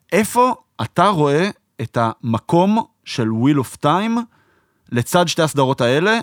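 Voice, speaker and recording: A man with a fairly high voice speaks at a fairly slow pace, leaving long, frequent pauses. His pitch swings very widely while his loudness stays very even, in a dry, close sound with no echo. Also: very clean recording, silent background. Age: 30s. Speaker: podcast host. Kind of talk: casual chat.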